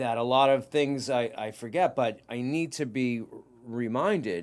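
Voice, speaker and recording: With a Boston accent and ordinary pitch variation, a man speaks on a very clean recording against a silent background. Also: medium pitch for a man, moderate pace. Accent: Boston-area New England. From Massachusetts, Whitman. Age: 50s. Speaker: podcast host and private investigator. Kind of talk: casual interview chat.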